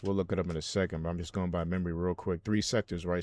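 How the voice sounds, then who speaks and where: Speaking very fast with a Haitian accent, a man holds a monotone, flat intonation at a very deep, low pitch over a quiet background. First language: Haitian Creole. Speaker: religious video commentator. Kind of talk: casual monologue. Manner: halting.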